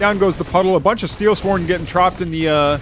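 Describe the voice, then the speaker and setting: A man speaks with an American accent. Music plays in the background. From United States. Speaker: esports tournament caster. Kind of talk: game commentary. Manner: casual, excitable.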